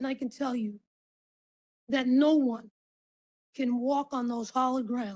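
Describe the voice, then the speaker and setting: A woman speaks at a moderate pace in a high voice. Her tone is dark and mellow. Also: dry, close sound with no echo. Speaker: county official. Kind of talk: ceremonial speech. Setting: ceremony with audience.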